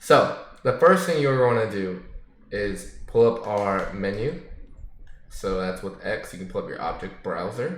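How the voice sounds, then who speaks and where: At a fairly slow pace, the voice shows big swings in loudness, and the room echo is audible. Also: man. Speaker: gaming tutorial creator. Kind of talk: tutorial. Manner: casual, filler-heavy.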